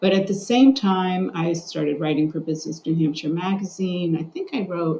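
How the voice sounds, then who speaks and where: Her tone is dark, mellow and somewhat breathy, with a fairly low pitch. The woman keeps a moderate pace and fairly even intonation. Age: 60s. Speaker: journalist and journalism instructor. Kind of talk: interview.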